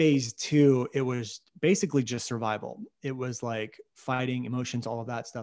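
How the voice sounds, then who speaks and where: A man with an unremarkable speaking voice talks at a moderate pace and medium pitch. His pitch varies in an ordinary way, and there are hardly any pauses. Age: 30s. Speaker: online video marketing consultant. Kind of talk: interview. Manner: uses many fillers.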